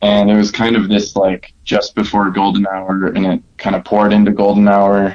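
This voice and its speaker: With an American accent, a man speaks in a fairly low, monotone, flat voice at very even loudness, with hardly any pauses. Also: moderate pace. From Wisconsin, Milwaukee. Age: 20s. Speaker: photographer. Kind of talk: casual chat.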